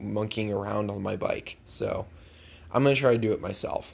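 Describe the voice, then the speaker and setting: A man with vocal fry speaks at a moderate pace, his fairly low pitch showing ordinary variation. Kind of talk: casual vlog chat. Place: garage. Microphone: phone near.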